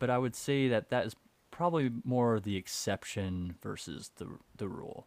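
A man with an unremarkable speaking voice talks at a moderate pace and medium pitch, his intonation lively, on a very clean recording with a silent background. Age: 30s. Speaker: podcast co-host on stock markets. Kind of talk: casual chat.

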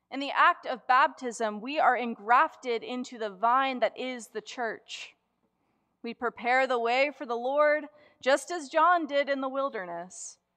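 A woman with an American accent speaks in a raised, projected voice at a high pitch, her loudness swinging widely while her pitch varies in an ordinary way over a quiet background. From US South, Gulf Coast of Florida. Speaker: preacher. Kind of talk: Advent Sunday sermon, reflective liturgical preaching from a written text. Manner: measured, cadenced pulpit delivery building through repeated clauses; earnest and deliberate, emphatic stress on contrasts.

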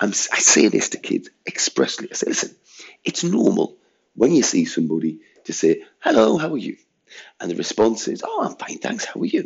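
Speaking at a moderate speed, a man talks with an English accent. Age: 50s. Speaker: head teacher. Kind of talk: monologue rant. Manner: animated.

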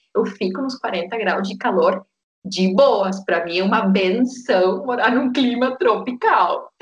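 A woman with a fairly high pitch talks at a very slow pace, with ordinary pitch variation. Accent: Spanish. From Argentina, Tierra del Fuego (Patagonia). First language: Spanish (speaking Portuguese). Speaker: yoga teacher. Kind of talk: interview, personal story.

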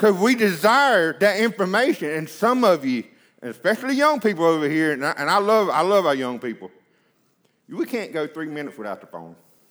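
A man's high voice at a fairly quick pace, with very wide pitch swings, in a very clean recording with a silent background. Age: 30s. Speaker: preacher. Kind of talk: sermon. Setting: church.

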